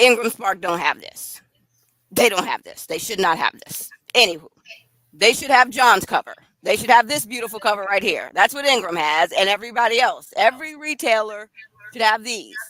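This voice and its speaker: A woman's fairly high, bright, sharp voice, animated and lively in intonation, with big swings in loudness, a moderate pace and a dry, close sound with no echo. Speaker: author. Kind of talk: live stream chat about her book.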